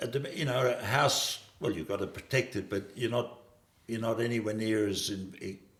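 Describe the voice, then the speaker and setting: A man with an Australian accent, over noticeable background noise. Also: medium pitch for a man, ordinary pitch variation, moderate pace. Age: 70s. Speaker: farmer. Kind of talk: interview. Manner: halting.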